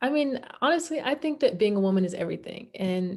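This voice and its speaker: A woman with an American accent speaks at a moderate pace, her pitch swinging very widely. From US South, Birmingham, Alabama. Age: 20s. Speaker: interviewee, young activist. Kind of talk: interview. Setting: video call. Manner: halting, many fillers and repeats.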